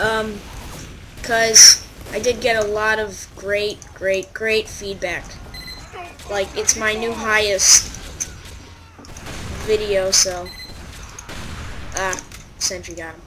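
A woman speaks very slowly at a fairly high pitch, with monotone, flat intonation and long, frequent pauses. Her loudness swings widely, over noticeable background noise. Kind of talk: casual gameplay commentary.

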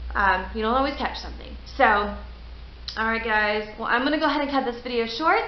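A woman speaking at a fairly quick pace, with light background noise and audible room echo. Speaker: paranormal vlogger. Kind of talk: casual vlog chat. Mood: calm, winding down. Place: garage. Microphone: webcam.

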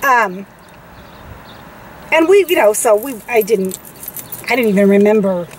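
Over light background noise, a woman speaks at a moderate pace with lively intonation, the sound dry with no echo. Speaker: co-host telling a story. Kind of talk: casual vlog chat. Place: car. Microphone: phone near.

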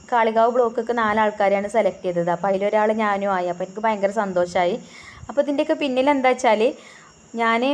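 The pitch varies in an ordinary way. It is an unremarkable speaking voice. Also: woman, fairly high pitch for a woman. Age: 30s. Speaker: home cooking vlogger. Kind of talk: casual vlog talk while cooking. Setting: home kitchen.

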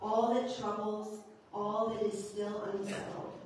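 Amid light background noise and strong room echo, a woman speaks at a fairly slow pace. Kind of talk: service announcements and liturgical reading. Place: church.

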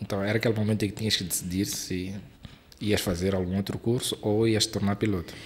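A man with a fairly low, somewhat breathy voice speaks fairly quickly in a monotone, flat intonation. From Mozambique. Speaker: aviation YouTuber and podcast host; aviation YouTuber, podcast host. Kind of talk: interview. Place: studio. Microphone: studio mic.

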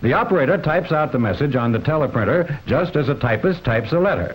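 A man talks at a very fast pace. His pitch swings very widely. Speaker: film narrator. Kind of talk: documentary narration.

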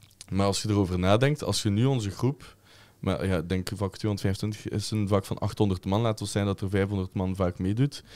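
Pitched fairly low with ordinary pitch variation, this man has a normal speaking voice. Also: moderate pace. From Flanders, Belgium. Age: 20s. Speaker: football ultras group member, chant leader; podcast guest. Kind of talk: casual chat. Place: studio. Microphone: studio mic.

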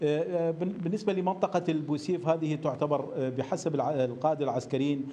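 A man's intonation stays fairly even as he talks at a moderate speed. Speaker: news correspondent. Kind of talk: live news report. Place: studio.

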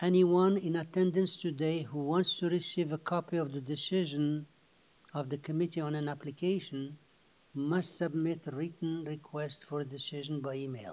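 Speaking with fairly level intonation, a man keeps a moderate tempo. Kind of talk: formal scripted meeting opening. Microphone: video call.

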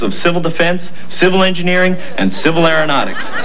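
There is light background noise as a man speaks at a fairly quick pace. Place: studio.

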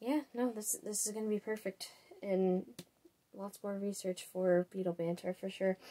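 Her tone dark and mellow, a woman speaks at a moderate pace with fairly even intonation. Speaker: podcast planner. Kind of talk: casual vlog chat. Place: home room. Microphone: webcam.

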